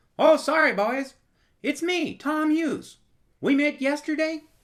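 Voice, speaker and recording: Someone uses a put-on character voice, high in pitch, at a moderate pace. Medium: audio drama.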